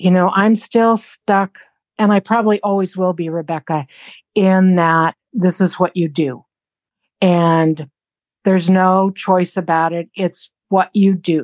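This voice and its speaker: Speaking in a normal speaking voice, a woman of medium pitch talks at a fairly slow pace with fairly even intonation, recorded with a dry, close sound with no echo against a quiet background. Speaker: retired caregiver of late mother. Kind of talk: personal testimony interview.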